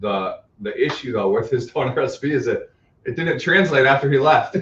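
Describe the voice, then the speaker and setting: Speaking with an American accent, a man uses vocal fry while his pitch swings very widely. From Northern California, San Francisco Bay Area. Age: 30s. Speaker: pastry chef and bakery owner. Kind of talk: casual interview chat. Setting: live-stream studio broadcast.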